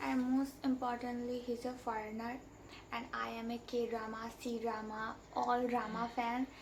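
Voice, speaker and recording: With a Bengali accent, a woman speaks slowly-ish at a high pitch, with audible room echo around her. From India. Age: young. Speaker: vlogger. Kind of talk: storytime monologue.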